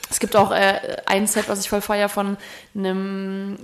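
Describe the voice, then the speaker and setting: A woman talks at a fairly slow pace in a medium pitch with flat, monotone intonation, and noticeable background noise can be heard. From Thuringia, Germany (Erfurt). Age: 30s. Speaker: DJ and musician. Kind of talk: casual chat.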